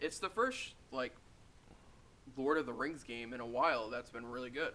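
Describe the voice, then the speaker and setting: Here a man talks at a moderate pace and medium pitch, with ordinary pitch variation. His tone is bright and sharp. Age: 20s. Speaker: podcast co-host. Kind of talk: casual chat.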